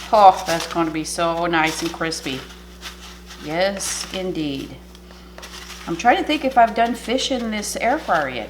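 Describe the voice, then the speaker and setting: The speaker moves at a fairly slow pace with very wide pitch swings. Audible room echo and noticeable background noise surround the voice. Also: woman, big swings in loudness. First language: French. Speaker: cooking channel host. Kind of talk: cooking tutorial. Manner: casual, chatty.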